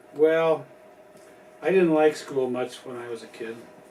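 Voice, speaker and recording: A man talks at a fairly slow pace with ordinary pitch variation while noticeable background noise carries on. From US Midwest, Chicago. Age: 70s. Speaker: grandfather being interviewed. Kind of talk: family interview.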